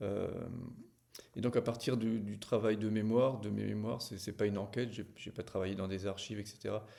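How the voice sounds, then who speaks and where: A man's dark, mellow tone with vocal fry, monotone, flat intonation and a fairly quick pace. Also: fairly low pitch for a man. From small village. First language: not French (speaking French). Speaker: novelist. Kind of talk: book presentation to camera. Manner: hesitant, many fillers.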